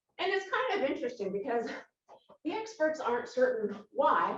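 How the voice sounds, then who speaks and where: A woman at a moderate pace with lively intonation, with audible room echo. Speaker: Pilates instructor. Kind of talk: workout instruction. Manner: breathy, slightly halting.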